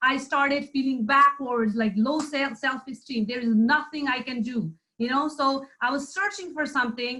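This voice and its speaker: A woman with a Nepali accent speaks in a raised, projected voice at a high pitch with a bright, sharp tone. She keeps a moderate pace with ordinary pitch variation and hardly any pauses. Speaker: entrepreneur, former IT director. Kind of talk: testimony.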